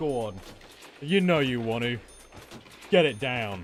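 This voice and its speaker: A man is talking at a moderate pace. His voice has a medium pitch. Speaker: gaming streamer. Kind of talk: casual live-stream commentary. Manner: animated.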